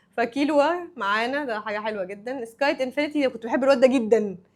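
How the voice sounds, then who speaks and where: The pace of this woman's speech is fairly quick. Her pitch sits high. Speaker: anime YouTuber. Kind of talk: casual vlog commentary. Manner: animated.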